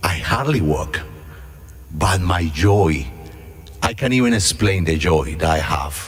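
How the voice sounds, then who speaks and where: Music plays in the background as a voice with lively intonation moves at a very slow pace amid audible room echo. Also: man. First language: not English. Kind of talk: mission talk / reflection. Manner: halting.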